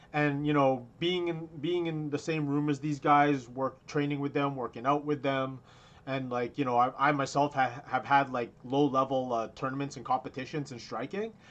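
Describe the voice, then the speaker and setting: This man has an unremarkable speaking voice with a fairly high pitch. He talks at a moderate pace with fairly even intonation and hardly any pauses. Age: 30s. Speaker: combat sports podcast co-host. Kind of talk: casual chat. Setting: video call.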